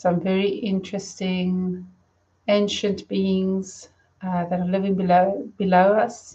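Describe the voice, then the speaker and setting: A woman's very slow, mumbling, somewhat breathy delivery in a flat, monotone intonation. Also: medium pitch for a woman. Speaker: spiritual medium. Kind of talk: live stream talk. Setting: live stream.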